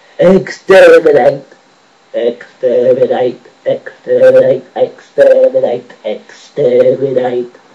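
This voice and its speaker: The man puts on a character voice. Every word comes out very slowly. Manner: shouting, relentless.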